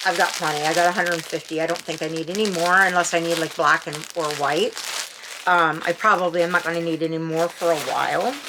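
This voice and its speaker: Over noticeable background noise, a woman talks very fast. Her fairly low voice is monotone, with flat intonation. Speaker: unboxing and review channel host. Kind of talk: casual product unboxing and review. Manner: halting, with frequent fillers and restarts; chatty, self-described babbling.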